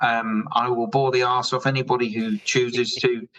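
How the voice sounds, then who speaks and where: A man with an English accent talks with lively intonation. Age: 60s. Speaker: drinks company founder. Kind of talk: podcast interview.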